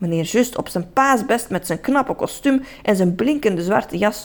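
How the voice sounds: The speaker reads in a natural voice. Lively intonation runs throughout.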